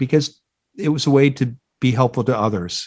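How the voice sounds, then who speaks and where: The man's tone is dark and mellow, at a medium pitch. He has a Midwestern US accent and ordinary pitch variation. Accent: General American, Midwestern. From US Midwest, Iowa. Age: 60s. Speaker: job board founder, career expert. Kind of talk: podcast interview.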